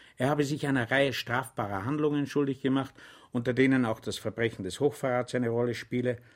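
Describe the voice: Fairly even intonation in plain reading aloud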